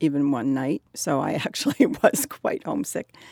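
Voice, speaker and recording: With an American accent, a woman speaks in a dry, close sound with no echo. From US Northeast. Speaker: college alumna. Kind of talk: oral history conversation.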